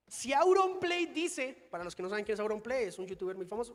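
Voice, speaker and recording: Over music in the background, a man speaks in an animated tone with lively intonation. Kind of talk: conference talk. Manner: fast.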